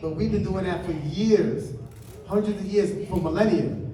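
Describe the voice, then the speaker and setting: Noticeable background noise runs through this clip. A man talks with audible room echo. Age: 50s. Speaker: breakdancer. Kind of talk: panel discussion.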